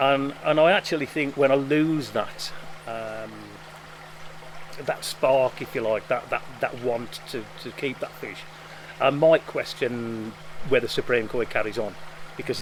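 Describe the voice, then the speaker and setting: Over noticeable background noise, a man of medium pitch talks fairly slowly with fairly even intonation. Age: 50s. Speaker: koi dealer. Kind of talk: interview. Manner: halting, with repetitions and fillers.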